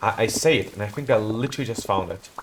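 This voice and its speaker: A man with a non-native accent, medium pitch, ordinary pitch variation and a fairly quick pace, amid noticeable background noise. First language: not English. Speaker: video game streamer. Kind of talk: live gameplay commentary. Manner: casual, self-correcting.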